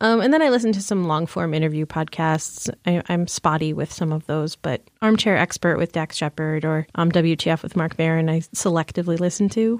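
In a normal speaking voice with an American accent, the speaker moves at a fairly quick pace with hardly any pauses and ordinary pitch variation, recorded very cleanly against a silent background. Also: woman, fairly low pitch for a woman. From lower Michigan. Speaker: movie theater manager. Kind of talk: casual interview chat.

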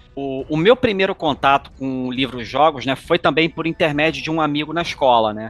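At a moderate pace, a man speaks in a normal speaking voice at a fairly high pitch with ordinary pitch variation. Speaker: podcast host. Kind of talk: casual chat.

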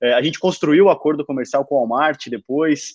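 At a moderate pace, a man speaks in a plain, everyday voice, pitched fairly high with ordinary variation. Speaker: startup founder. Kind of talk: interview.

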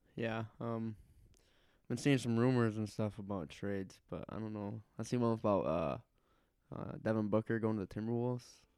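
A man's fairly low-pitched, plain, everyday voice, with ordinary pitch variation at a moderate pace. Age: young. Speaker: podcast co-host. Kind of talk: casual chat.

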